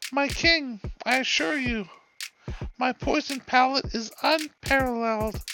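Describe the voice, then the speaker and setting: Using a put-on character voice, a man talks at a fairly slow pace with an extremely high pitch. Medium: read story. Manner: obsequious, sly.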